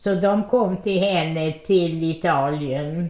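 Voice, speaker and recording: A woman talks at a very slow pace in a dark, mellow tone. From Odessa, Ukraine. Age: 90s. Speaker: centenarian interviewee. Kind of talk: life story interview.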